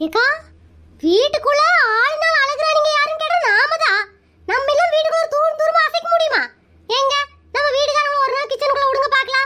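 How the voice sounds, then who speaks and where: Using a cartoonish character voice, a woman speaks at a moderate pace in an extremely high pitch with lively intonation and very even loudness. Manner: cheeky, argumentative.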